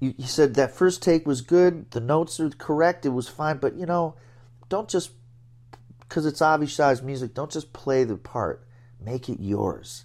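In an American accent, a man with a normal speaking voice talks at a moderate pace, his fairly high pitch moving with ordinary variation. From US Northeast (Binghamton, New York). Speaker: jazz trombonist. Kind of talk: interview. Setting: at home.

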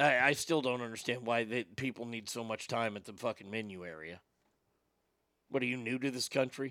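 Loud and fairly quick, a man with an American accent speaks at a medium pitch with ordinary pitch variation. The recording is very clean, with a silent background. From Texas. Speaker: podcast host. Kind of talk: casual chat. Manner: animated.

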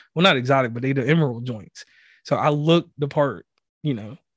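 With a Southern US accent, a man speaks fairly quickly at a fairly high pitch, the sound dry and close with no echo over a quiet background. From US South. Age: 30s. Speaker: podcast host. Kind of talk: casual chat. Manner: enunciates carefully.

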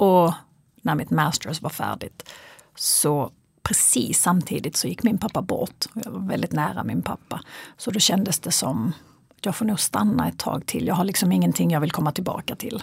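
Very deep and low, a woman's voice shows vocal fry. Her pitch swings very widely. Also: moderate pace. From Sweden, Kristianstad (Skåne). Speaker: psychologist and fitness coach. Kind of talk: interview conversation. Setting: in studio with host, in person.

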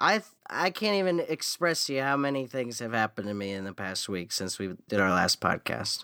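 A man with an American accent, medium pitch, a bright, sharp tone, very wide pitch swings and a fairly quick pace, in a dry, close, echo-free and very clean recording with a silent background. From US, Florida (Naples). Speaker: podcast co-host, musician. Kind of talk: casual chat.

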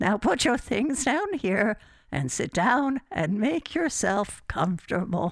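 A put-on character voice with a fairly high pitch moves at a fairly slow pace. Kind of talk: community radio theatre horror acting. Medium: audio drama. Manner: fussy, repetitive, brushing questions aside.

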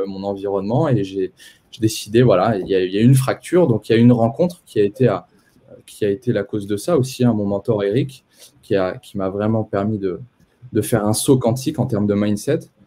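A man with a fairly low pitch, a dark, mellow tone, ordinary pitch variation, and a fairly quick pace. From France, Poitiers. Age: 20s. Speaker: entrepreneur and investment coach. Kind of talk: live-stream interview.

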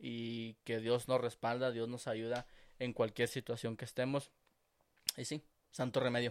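Recorded very cleanly with a silent background, a man talks at a medium pitch. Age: 20s. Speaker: podcast co-host. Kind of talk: casual chat.

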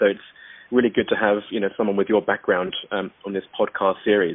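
Using a plain, everyday voice, a man talks at a fairly quick pace, fairly low in pitch with fairly even intonation. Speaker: podcast host. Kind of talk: interview, professional conversation.

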